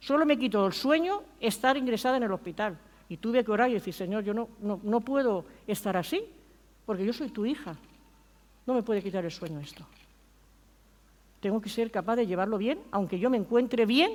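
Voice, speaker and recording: Using lively intonation, a woman with a fairly high pitch speaks with long, frequent pauses. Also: moderate pace. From Spain. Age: 60s. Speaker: pastor. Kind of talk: sermon.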